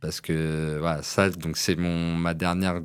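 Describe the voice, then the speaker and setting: A man with a very deep, low voice, speaking very slowly on a very clean recording with a silent background. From Paris suburbs (Seine-Saint-Denis). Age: 30s. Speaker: former professional boxer, gym owner. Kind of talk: interview podcast. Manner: halting.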